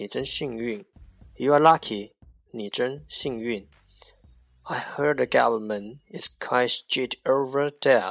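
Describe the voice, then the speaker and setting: With music in the background and a dry, close sound with no echo, a man in a Chinese accent speaks very slowly at a medium pitch, with ordinary pitch variation, long, frequent pauses and big swings in loudness. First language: Mandarin Chinese. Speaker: English teacher podcaster. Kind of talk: language lesson. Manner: slow, repetitive drilling.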